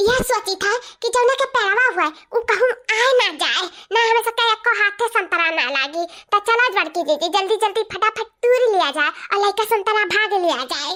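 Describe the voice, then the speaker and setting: A woman performs a cartoonish character voice at an extremely high pitch. Her intonation is lively. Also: moderate pace. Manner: chattering.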